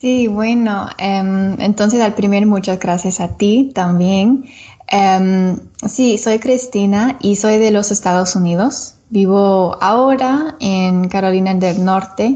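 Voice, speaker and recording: A woman with an English accent, very slow and somewhat breathy, dark and mellow in tone, with very even loudness and ordinary pitch variation. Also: medium pitch for a woman. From Florida, US. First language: English (speaking Spanish). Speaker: English teacher and Spanish learner. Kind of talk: podcast interview. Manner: halting, many fillers.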